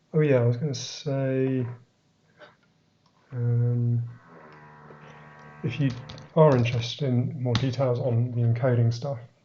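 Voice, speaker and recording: A man with an English accent at medium pitch, very slow and monotone, with music playing in the background. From England. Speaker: software developer. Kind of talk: live-streamed technical talk. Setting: live stream. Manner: hesitant, many fillers.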